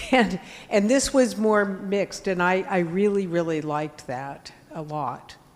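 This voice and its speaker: Against noticeable background noise, a woman at medium pitch speaks at a fairly slow pace with lively intonation. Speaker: past program participant. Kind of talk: comment at meeting. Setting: in-person meeting with livestream.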